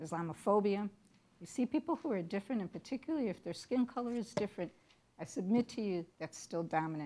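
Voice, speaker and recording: In a Chicago accent, the voice has a dark, mellow tone and lively intonation, moving at a fairly quick pace broken by long, frequent pauses. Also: woman. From Chicago, US Midwest. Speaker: university diversity director. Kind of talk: lecture.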